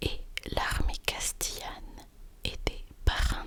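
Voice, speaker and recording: A woman whispers very slowly while noticeable background noise continues. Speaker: ASMR creator. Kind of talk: ASMR bedtime story. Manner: whispered.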